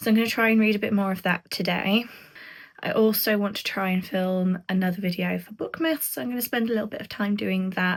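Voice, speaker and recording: A somewhat breathy woman's voice at medium pitch with a British accent, very fast, with ordinary pitch variation, in a very clean recording with a silent background. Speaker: book vlogger. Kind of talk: casual vlog talk to camera.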